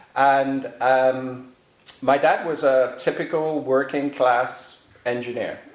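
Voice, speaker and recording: Over noticeable background noise, a man talks at a very slow pace with an English accent. His fairly high voice stays in a flat monotone. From England. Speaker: author. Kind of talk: interview. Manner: halting.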